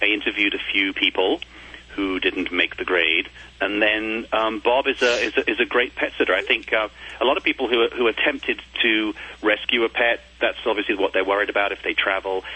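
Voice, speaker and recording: Against noticeable background noise, a man with a fairly low pitch talks with fairly even intonation. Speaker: TV design show host. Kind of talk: interview.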